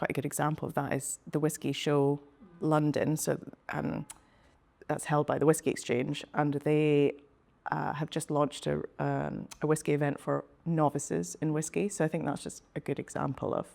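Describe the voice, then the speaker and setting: A woman speaks at a moderate pace with fairly even intonation. Her pitch is very deep and low, with vocal fry. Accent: Scottish. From Speyside, Scotland. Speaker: whisky senior account manager. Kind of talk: interview answer. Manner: casual, hesitant.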